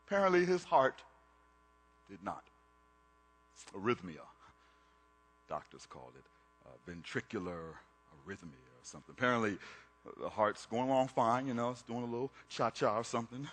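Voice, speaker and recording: This man's loudness swings widely and his pitch rises and falls very sharply, with long pauses coming often. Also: medium pitch for a man, moderate pace. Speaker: spoken word artist. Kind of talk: spoken word performance.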